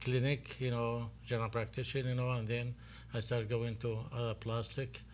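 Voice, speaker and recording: A man speaks at a fairly quick pace in an Iraqi accent, his voice somewhat breathy. His intonation is monotone and flat, and his loudness stays very even. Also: medium pitch for a man. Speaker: physician and festival board president. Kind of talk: interview.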